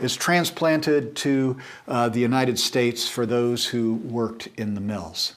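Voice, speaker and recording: A man with a normal speaking voice talks at a medium pitch with ordinary pitch variation. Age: 60s. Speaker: church teacher. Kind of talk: lecture.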